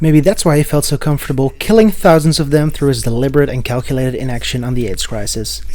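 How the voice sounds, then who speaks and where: Over noticeable background noise, a man with a Dutch accent talks fairly quickly at a fairly high pitch. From Netherlands. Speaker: video essayist. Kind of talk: video essay narration.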